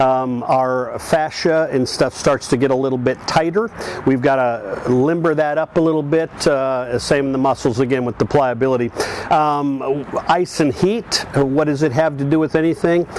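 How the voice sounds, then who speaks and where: The speaker moves at a moderate pace with ordinary pitch variation and very even loudness. Noticeable background noise sits behind the voice. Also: man, fairly high pitch for a man. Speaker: senior athlete and fitness channel host. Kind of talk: video monologue. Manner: halting, many fillers.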